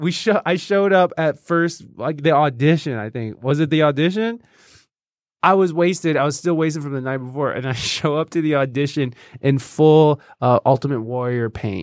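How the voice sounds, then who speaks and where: A man with an American accent speaks at a fairly high pitch with ordinary pitch variation, in a very clean recording with a silent background. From Michigan. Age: 30s. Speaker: podcaster. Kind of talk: casual chat. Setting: studio. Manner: fast.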